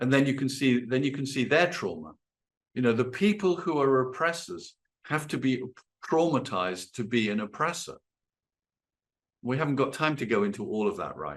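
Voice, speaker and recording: A man talks at a moderate pace with lively intonation, medium pitch and vocal fry. He leaves long, frequent pauses over a quiet background. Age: 60s. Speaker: workshop leader and psychotherapist. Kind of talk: workshop talk. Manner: halting.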